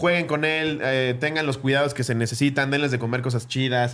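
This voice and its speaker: A plain, everyday voice at a fairly quick pace. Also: man. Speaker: podcast host. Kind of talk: casual chat.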